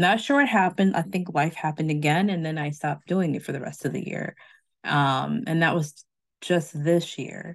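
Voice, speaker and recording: Against a quiet background, a woman with an ordinary speaking voice talks at a moderate pace, her pitch fairly low and her pitch variation ordinary. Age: middle-aged. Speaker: podcast host. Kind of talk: casual chat.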